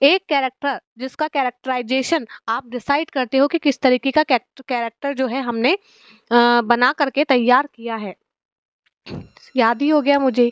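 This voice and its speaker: Recorded dry and close with no echo, a woman with a high pitch speaks at a fairly slow pace. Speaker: teacher for exam preparation. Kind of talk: lecture. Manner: conversational, with fillers.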